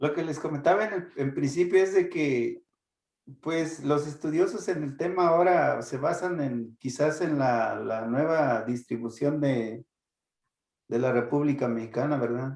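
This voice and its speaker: A man's voice, fairly high in pitch with ordinary variation, comes through at a fairly slow pace. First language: Purepecha (speaking Spanish). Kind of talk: Q&A talk. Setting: video call. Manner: halting.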